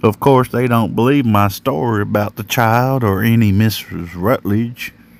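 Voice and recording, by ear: The text is read aloud in a natural voice.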